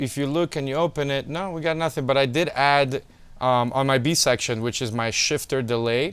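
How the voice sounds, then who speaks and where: A man's fairly high voice with a non-native accent, at a fairly quick pace and with ordinary pitch variation. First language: not English. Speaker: music producer. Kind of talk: tutorial. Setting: home studio. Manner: casual.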